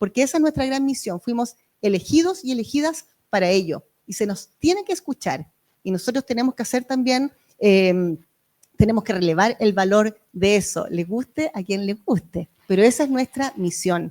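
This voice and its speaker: A woman speaks with very wide pitch swings. Her pitch is fairly high. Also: dry, close sound with no echo. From Chile, Valparaíso region. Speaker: member of parliament. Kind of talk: panel discussion. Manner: fast; animated.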